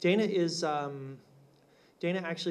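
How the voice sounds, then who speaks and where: Amid audible room echo, a man speaks at a high pitch and a fairly slow pace with ordinary pitch variation. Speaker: film critic. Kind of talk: panel discussion. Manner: loud; casual.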